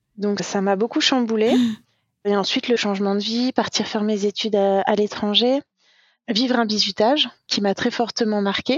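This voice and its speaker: A woman speaks in an ordinary speaking voice, fairly high in pitch. Her intonation is fairly even and her loudness very even. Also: moderate pace. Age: 30s. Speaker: eating disorder survivor sharing testimony. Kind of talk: testimony.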